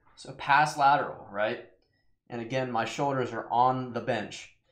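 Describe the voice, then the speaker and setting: In a quiet background with audible room echo, a man talks at a very slow pace. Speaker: fitness vlogger. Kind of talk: tutorial. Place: home room. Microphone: webcam.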